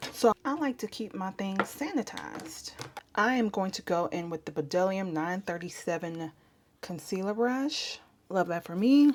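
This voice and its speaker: Soft-spoken, a woman talks with lively intonation. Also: medium pitch for a woman, moderate pace. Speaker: makeup artist. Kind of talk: tutorial. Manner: casual, chatty.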